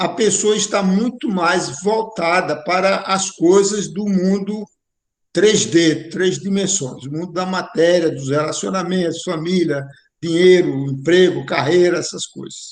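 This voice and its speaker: A man speaks at a fairly slow pace in a high pitch, with ordinary pitch variation. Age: 70s. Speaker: spiritual course teacher. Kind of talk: online lecture.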